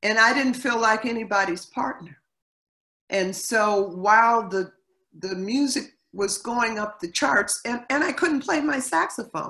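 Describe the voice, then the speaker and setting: Over a quiet background, a woman with a bright, sharp tone speaks fairly slowly, her intonation lively. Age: 60s. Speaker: singer; interviewee. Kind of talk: interview. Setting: video call. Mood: reflective, calm. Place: home room. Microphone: video call.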